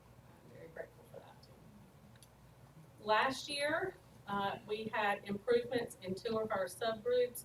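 A very slow delivery in a North Carolina accent. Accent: Southern US (North Carolina). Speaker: school principal. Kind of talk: presentation to school board. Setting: board meeting.

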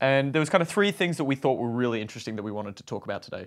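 The background stays quiet as a man talks. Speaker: podcast co-host. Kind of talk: podcast discussion. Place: home room.

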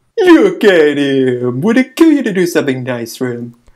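A put-on character voice at a low-to-middle pitch and a moderate pace. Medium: dub. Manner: upbeat, teasing.

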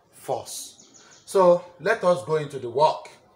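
Ordinary pitch variation from a man. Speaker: teacher. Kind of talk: lecture. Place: classroom. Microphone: camera far.

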